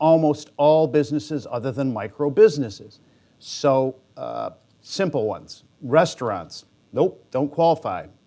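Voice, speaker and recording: Against a quiet background, a man with a Midwestern American accent speaks with ordinary pitch variation. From Michigan. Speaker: bank executive, conference discussant. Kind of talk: conference talk. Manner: fast.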